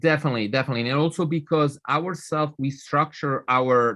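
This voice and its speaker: A man's bright, sharp tone at a moderate pace, with ordinary pitch variation and a quiet background. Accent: Italian. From Italy. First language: Italian. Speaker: nonprofit leader. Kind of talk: interview.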